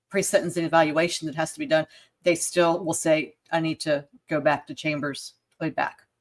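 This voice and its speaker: A woman with a Southern accent speaks at a moderate pace in a fairly low pitch. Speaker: podcast co-host. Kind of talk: livestream chat. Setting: livestream.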